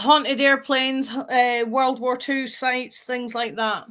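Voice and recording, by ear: A woman speaks slowly at a high pitch with a fairly bright tone. Her intonation stays fairly even.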